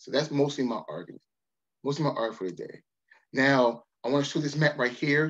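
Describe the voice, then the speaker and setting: This man, fairly high-pitched with vocal fry and an American accent, moves at a fairly quick pace with long, frequent pauses, ordinary pitch variation and big swings in loudness against a quiet background. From Baltimore, Maryland. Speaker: history professor. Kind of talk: lecture. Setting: video call. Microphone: webcam.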